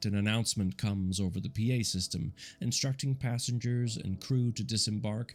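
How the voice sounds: Natural reading voice, heard throughout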